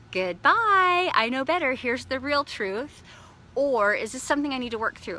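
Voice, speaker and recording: Her tone is animated at a fairly quick pace. This woman is heard over noticeable background noise. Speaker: life coach. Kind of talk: motivational talk. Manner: fast.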